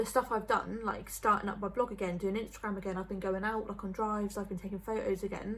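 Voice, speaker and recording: With vocal fry and a medium pitch, a woman talks at a fairly quick pace. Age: 20s. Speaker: vlogger. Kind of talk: casual chat. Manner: fast.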